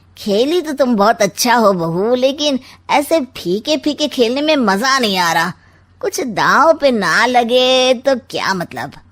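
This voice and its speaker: Using a cartoonish character voice, a woman speaks at a high pitch and a fairly slow pace. Her intonation is lively. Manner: sly, sarcastic.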